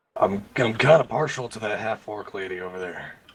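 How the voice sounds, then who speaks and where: Putting on a raspy character voice, a man speaks at medium pitch and a fairly quick pace. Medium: actual play.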